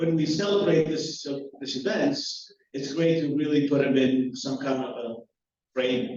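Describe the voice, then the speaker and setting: This man has a Greek accent and a fairly high pitch. He speaks at a fairly slow pace, with audible room echo. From Greece. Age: 50s. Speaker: professor. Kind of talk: lecture. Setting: hall with live audience. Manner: halting, many fillers.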